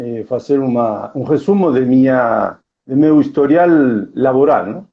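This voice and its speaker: A man with an Argentine accent speaks in a medium pitch with ordinary pitch variation. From Argentina, Tandil, Buenos Aires province. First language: Spanish (speaking Portuguese). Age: 50s. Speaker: workplace safety specialist and coach. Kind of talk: live stream interview. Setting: online live stream. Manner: halting, mixing Spanish and Portuguese.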